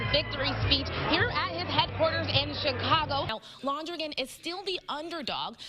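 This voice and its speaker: A woman uses a raised, projected voice with a high pitch. She keeps a moderate pace over noticeable background noise. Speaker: TV news reporter. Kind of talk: TV news report.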